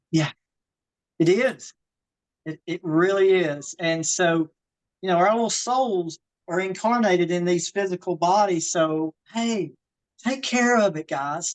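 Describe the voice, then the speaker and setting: The voice has a Southern US accent and lively intonation at a fairly slow pace. The sound is dry and close, with no echo. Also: woman. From US South, Georgia. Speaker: fitness and wellness coach. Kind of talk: live online workshop. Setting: video call, outdoors in her garden.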